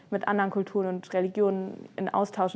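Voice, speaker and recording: The speaker is female, with a medium pitch. Her tempo is moderate. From Germany, Frankfurt. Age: 20s. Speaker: law student. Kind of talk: interview testimony. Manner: casual with fillers.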